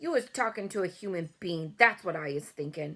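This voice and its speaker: A woman shouts and growls in a put-on character voice, pitched fairly low. She keeps a moderate pace. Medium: read story. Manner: bullying, shouting.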